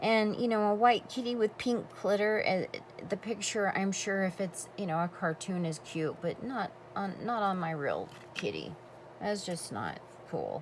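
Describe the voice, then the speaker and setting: Over noticeable background noise, a woman talks at a fairly slow pace in a medium pitch with ordinary pitch variation. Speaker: crafter. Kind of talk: tutorial. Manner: animated.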